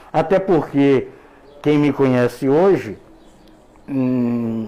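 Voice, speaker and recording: This man's voice sits at a fairly high pitch. Noticeable background noise runs behind him. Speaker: former computer teacher. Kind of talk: interview. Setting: radio studio. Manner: halting, repeats words.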